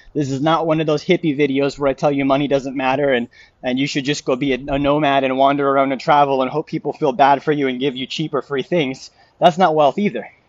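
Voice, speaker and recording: A man's fairly high-pitched voice at a very fast pace. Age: 30s. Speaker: financial advisor. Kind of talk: live stream talk. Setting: live stream after morning run. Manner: animated.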